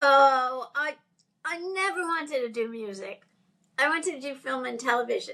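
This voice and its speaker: A woman's raised, projected voice, high-pitched with a bright, sharp tone, at a moderate pace. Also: lively intonation. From New York City. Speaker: music lawyer. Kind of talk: interview.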